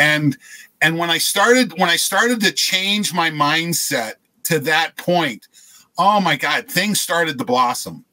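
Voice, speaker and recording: The speaker talks at a fairly slow pace with lively intonation and a bright, sharp tone. The American accent comes through against a quiet background. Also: man. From US Midwest, eastern Ohio. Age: 60s. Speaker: exercise physiologist, supplement company scientist; guest. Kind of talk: podcast interview. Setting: remote call from his trailer office. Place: home room.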